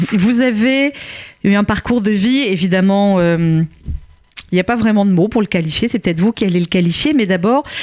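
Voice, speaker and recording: A woman speaks at a medium pitch, her loudness very even and her pitch varying in an ordinary way. She leaves long, frequent pauses, and the sound is dry and close with no echo. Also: moderate pace. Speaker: radio host. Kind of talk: radio interview questions.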